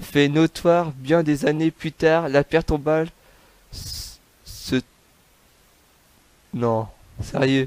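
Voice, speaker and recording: A man talks at a very slow pace with long, frequent pauses and ordinary pitch variation, the sound dry and close with no echo. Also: fairly high pitch for a man. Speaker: YouTuber narrating true crime. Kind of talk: reading aloud. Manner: halting, stumbles over words.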